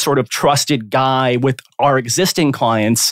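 An unremarkable speaking voice from a man with an American accent, fairly high in pitch, fairly slow, with ordinary pitch variation, on a very clean recording with a silent background and a dry, close sound with no echo. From South Florida. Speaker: corporate and real estate lawyer. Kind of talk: podcast interview.

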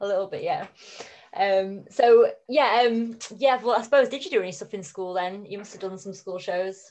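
Using a plain, everyday voice, a woman speaks at a moderate pace and medium pitch with ordinary pitch variation and big swings in loudness. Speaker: podcast host. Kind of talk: casual interview chat.

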